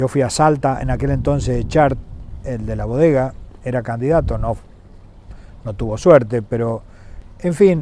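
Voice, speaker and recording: A man speaks at a fairly slow pace. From Argentina, San Juan province. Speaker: former governor and businessman. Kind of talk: interview. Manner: hesitant, with fillers and repetitions.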